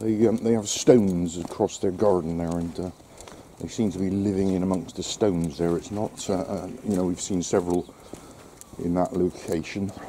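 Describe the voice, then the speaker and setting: Over light background noise, a man with a very deep, low pitch speaks at a moderate pace with fairly even intonation. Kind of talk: casual vlog chat. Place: street. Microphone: phone near.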